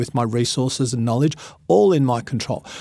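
Fairly quick pace from a man with an Australian accent. His medium pitch stays fairly even. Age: 50s. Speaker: motivational speaker. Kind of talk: interview.

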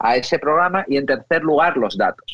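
A man speaks in a normal speaking voice, pitched fairly high. His pace is moderate. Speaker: technology expert. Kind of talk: interview.

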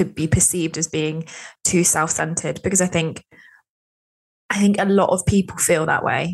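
A woman with a medium pitch talks at a moderate speed. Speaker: podcast host. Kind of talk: interview. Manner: warm, enthusiastic.

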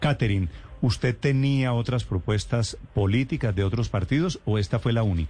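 At a moderate pace and medium pitch, a man speaks with lively intonation, a dark, mellow tone, very even loudness and a somewhat breathy quality. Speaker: radio interviewer. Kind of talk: radio interview.

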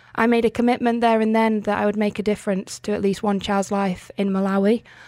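Talking at a fairly quick pace, a woman keeps a medium pitch with monotone, flat intonation. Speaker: charity founder. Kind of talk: radio interview.

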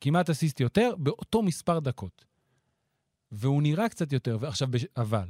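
A man's somewhat breathy, dark, mellow tone at a fairly high pitch, with very wide pitch swings, a moderate pace and long, frequent pauses, in a dry, close sound with no echo. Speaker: basketball analyst. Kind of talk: casual chat.

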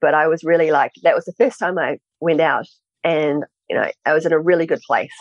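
A woman with a New Zealand accent at a fairly low pitch and fairly quick pace, with ordinary pitch variation, a quiet background and a dry, close sound with no echo. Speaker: author and entrepreneur. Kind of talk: interview. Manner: halting.

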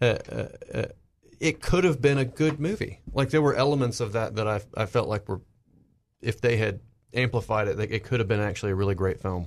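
This man has a normal speaking voice with an American accent, set at a medium pitch. He talks at a fairly quick pace with ordinary pitch variation against a quiet background. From US South. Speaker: pop culture panelist. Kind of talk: casual panel discussion.

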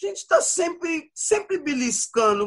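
The speaker is a man whose pitch swings very widely. He talks at a fairly slow pace. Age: 40s. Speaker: rapper. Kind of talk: casual interview chat.

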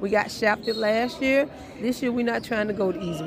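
Over background music, a woman speaks at a fairly high pitch. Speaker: high school basketball coach. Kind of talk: post-game interview.

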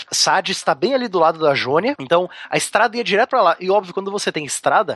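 Very fast male speech with lively intonation and a bright, sharp tone, in a dry, close sound with no echo. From southern Brazil, Curitiba. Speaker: history teacher. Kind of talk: casual podcast chat explaining history.

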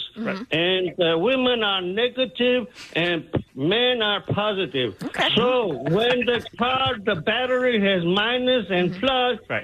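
A man speaks in a high pitch at a fairly slow pace. His intonation is lively, and there is noticeable background noise. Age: 60s. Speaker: barber, comedic caller. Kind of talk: comedic phone bit. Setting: phone call.

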